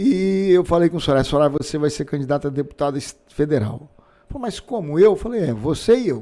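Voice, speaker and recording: With a fairly high pitch, a dark, mellow tone and lively intonation, a man speaks at a fairly quick pace. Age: 60s. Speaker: physician and politician. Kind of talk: casual interview.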